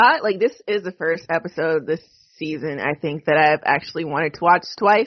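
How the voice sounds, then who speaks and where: A woman with an ordinary speaking voice, fairly low in pitch, at a moderate pace with ordinary pitch variation. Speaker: podcast host. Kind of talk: casual chat, TV recap podcast.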